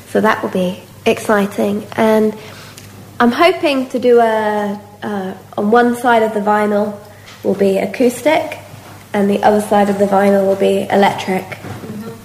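Very slow delivery with long, frequent pauses over noticeable background noise. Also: woman, medium pitch for a woman, ordinary pitch variation. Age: 30s. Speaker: blues singer. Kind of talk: interview.

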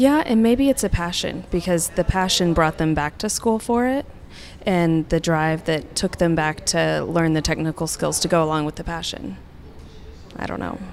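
Speaking in an unremarkable speaking voice, a woman with a fairly low pitch moves at a moderate pace with lively intonation. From Oklahoma, Tulsa. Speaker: interior designer. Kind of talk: casual interview. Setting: public park, outdoors.

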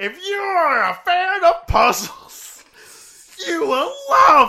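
The voice is a put-on character voice at an extremely high pitch. It moves at a very slow pace with very wide pitch swings. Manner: bombastic, cheerful.

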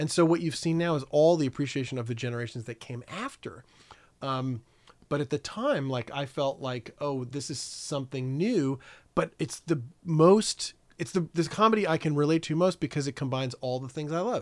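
This is an ordinary speaking voice with an American accent. It moves at a moderate pace with ordinary pitch variation. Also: man, fairly high pitch for a man. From New York City (Staten Island) and Connecticut. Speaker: documentary producer. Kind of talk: casual chat.

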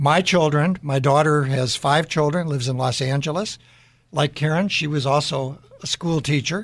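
Speaking at a moderate pace with an American accent, a man uses ordinary pitch variation in a fairly high, somewhat breathy voice. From Chicago area, Illinois. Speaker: business CEO, radio co-host. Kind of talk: casual panel chat. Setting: studio.

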